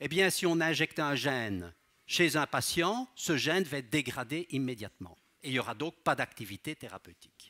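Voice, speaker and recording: Speaking in a slight Belgian accent at a moderate pace, a man with a fairly high pitch and a bright, sharp tone shows vocal fry and very wide pitch swings. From Belgium. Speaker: pharmacology professor and researcher; pharmacology professor. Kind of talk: public science lecture. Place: hall. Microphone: headset.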